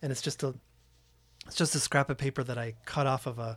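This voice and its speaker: The speaker has an American accent and a somewhat breathy voice. The pace is fairly quick and the intonation fairly even. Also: man. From Oakland, California. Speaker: podcast host. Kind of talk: interview. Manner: hesitant, many fillers.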